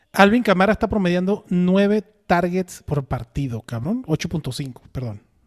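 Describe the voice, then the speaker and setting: With a dry, close sound and no echo, the speech has lively intonation. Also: man. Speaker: fantasy football podcast host. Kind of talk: casual chat. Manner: animated.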